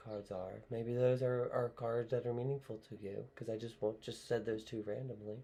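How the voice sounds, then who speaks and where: A man with an American accent speaks at a moderate pace, his medium-pitched voice somewhat breathy and his intonation monotone and flat. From US Northeast, southeastern Pennsylvania (Bucks County). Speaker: tarot and oracle card reader. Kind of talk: spiritual card reading monologue. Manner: halting, with fillers and repetitions.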